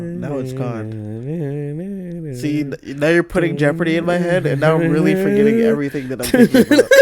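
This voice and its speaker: Soft-spoken, a man talks at a fairly high pitch and fairly quick pace, with hardly any pauses, lively intonation and big swings in loudness. Background noise is noticeable. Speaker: podcast co-host. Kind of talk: casual chat. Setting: living room at home. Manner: softly.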